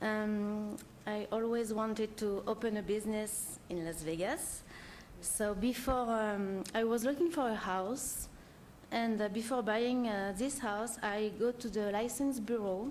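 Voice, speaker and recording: Audible room echo surrounds a woman with a French accent. She speaks fairly slowly in a fairly high voice with fairly even intonation. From France. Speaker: short-term rental owner applicant. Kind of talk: public hearing testimony. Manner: halting, many fillers.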